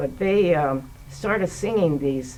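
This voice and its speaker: Over noticeable background noise, a woman with a fairly low pitch speaks at a very slow pace with lively intonation. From United States. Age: 80s+. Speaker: playwright. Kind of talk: interview answer. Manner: hesitant, conversational.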